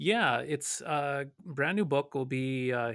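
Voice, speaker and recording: A man with an Upper Midwest accent and a fairly high pitch. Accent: Upper Midwest American. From North Dakota. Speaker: pastor. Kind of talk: radio Bible study discussion. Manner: halting, many fillers and repeats.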